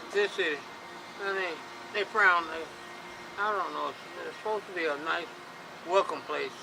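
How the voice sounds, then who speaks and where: With a Southern US accent, a man speaks at a moderate pace. He leaves long, frequent pauses over noticeable background noise. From Chattanooga, Tennessee. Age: 60s. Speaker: homeless man. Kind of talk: interview. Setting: outdoors on a bridge. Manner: halting, repeats words.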